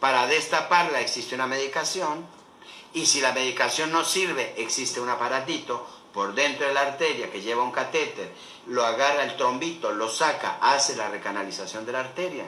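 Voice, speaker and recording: Fairly high in pitch, a man speaks with ordinary pitch variation amid noticeable background noise and audible room echo. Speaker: doctor. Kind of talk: lecture. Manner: fast.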